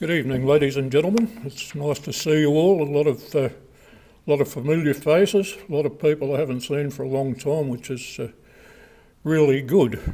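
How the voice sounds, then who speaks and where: A man speaks with an Australian accent at a moderate pace. His voice is fairly high-pitched, with a dark, mellow tone. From Australia, Whittlesea in Victoria. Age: 70s. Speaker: local historian. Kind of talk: public talk. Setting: reception venue with audience.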